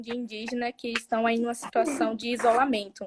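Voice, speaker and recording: This is a woman speaking. Her pitch is high. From southern Bahia, Brazil. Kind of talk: interview conversation. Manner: halting, many fillers and repetitions.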